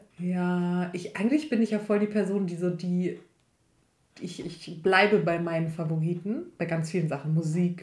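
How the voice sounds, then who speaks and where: Somewhat breathy, a woman talks at a fairly low pitch with fairly even intonation. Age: 20s. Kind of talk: casual chat.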